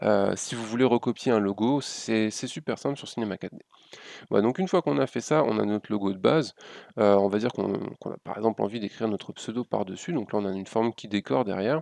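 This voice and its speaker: Over a quiet background, a man talks very fast with a fairly low pitch and ordinary pitch variation. His loudness swings widely, and the sound is dry and close with no echo. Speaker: graphic design tutorial youtuber. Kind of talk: software tutorial. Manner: hesitant, many fillers.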